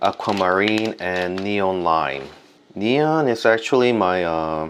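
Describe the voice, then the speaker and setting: A man's very deep, low voice with a Korean accent, lively intonation and a very slow pace. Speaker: art and stationery video creator. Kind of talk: casual product review and unboxing. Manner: hesitant with many fillers.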